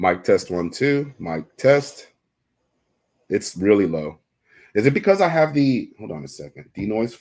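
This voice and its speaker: Very wide pitch swings and big shifts in loudness at a fairly slow pace. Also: man. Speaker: fishing tackle shop livestream host. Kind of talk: casual livestream chat. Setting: live stream, indoors.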